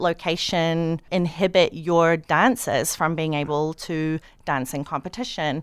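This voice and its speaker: A woman with a New Zealand accent speaks very slowly in a fairly low pitch. The recording is very clean, with a silent background. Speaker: documentary director. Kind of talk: radio interview.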